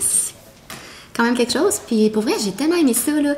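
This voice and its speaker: Against noticeable background noise, a woman with a Quebec accent talks at a fairly quick pace with lively intonation. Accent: Québécois French. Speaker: vlogger. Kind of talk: casual vlog talk. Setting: home kitchen. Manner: fast; animated.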